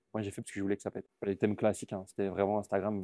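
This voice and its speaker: A man with a fairly low pitch talks in a quiet setting. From Belgium. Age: 20s. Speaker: comedian. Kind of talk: casual interview. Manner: casual, hesitant with many fillers.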